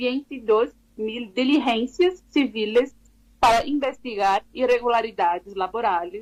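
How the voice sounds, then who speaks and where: A woman talks at a fairly slow pace with a Brazilian accent. Her pitch is high, with ordinary pitch variation. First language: Portuguese (speaking Spanish). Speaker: labor law researcher. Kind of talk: radio interview. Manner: halting, with many fillers.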